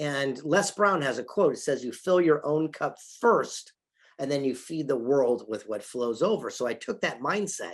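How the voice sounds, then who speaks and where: A man with a plain, everyday voice speaks at a fairly high pitch and a moderate pace. His intonation is lively, and the background is quiet. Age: 60s. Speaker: author and film producer. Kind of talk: interview. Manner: repeats words often.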